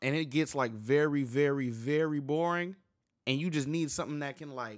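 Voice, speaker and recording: Over quiet surroundings, a man keeps to a moderate speed. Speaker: music reaction youtuber. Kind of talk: casual reaction commentary. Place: home room. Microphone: studio mic.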